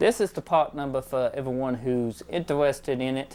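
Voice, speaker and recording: A moderate pace in a strong rural American accent. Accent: heavy country. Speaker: DIY car mechanic youtuber. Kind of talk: product review tutorial.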